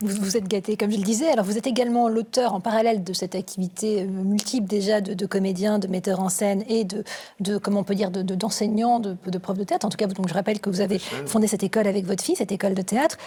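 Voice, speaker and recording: Talking at a very fast pace with hardly any pauses, a woman keeps a medium pitch and fairly even intonation. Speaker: TV presenter. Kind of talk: TV interview host.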